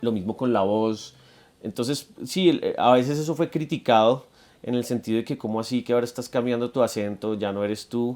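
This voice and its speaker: Speaking with a Bogotá accent at a fairly quick pace, a man keeps a medium pitch and ordinary pitch variation. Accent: Bogotá Colombian Spanish. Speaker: musician. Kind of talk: interview. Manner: halting, many repetitions.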